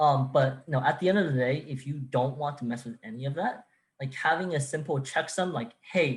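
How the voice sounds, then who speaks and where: A somewhat breathy voice moves at a fairly quick pace with ordinary pitch variation on a very clean recording with a silent background. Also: man, fairly high pitch for a man. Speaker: workshop presenter. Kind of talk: technical workshop Q&A. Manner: halting, many fillers and restarts.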